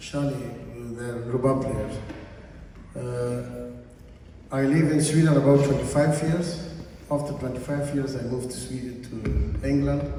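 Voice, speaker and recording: A man speaks at a fairly slow pace, with long, frequent pauses. The room echo is audible and the background noise is noticeable. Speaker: musician. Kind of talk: stage introduction. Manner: halting.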